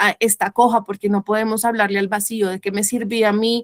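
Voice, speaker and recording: At a fairly quick pace, a woman with a fairly high pitch talks in a monotone, flat intonation, the sound dry and close with no echo. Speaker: biologist. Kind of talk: lecture. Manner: fast; halting.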